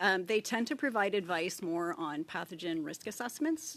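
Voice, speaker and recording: A woman speaks with ordinary pitch variation. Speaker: public health official. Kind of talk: committee testimony. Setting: parliamentary committee hearing. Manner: fast.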